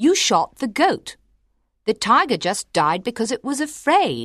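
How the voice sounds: In a very clean recording with a silent background and a dry, close sound with no echo, a man does a put-on character voice at an extremely high pitch, with a bright, sharp tone, big pitch swings and a fairly slow pace.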